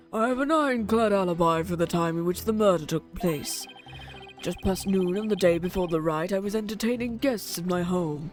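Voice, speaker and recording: A hoarse, put-on character voice at a middle pitch and fairly quick pace, with clear music in the background. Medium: game stream. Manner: formal, archaic.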